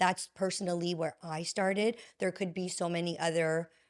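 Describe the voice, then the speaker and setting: Fairly even intonation runs through an ordinary speaking voice on a very clean recording with a silent background. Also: woman. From Canada, Vaughan Ontario. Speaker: healing coach and podcaster. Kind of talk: interview conversation.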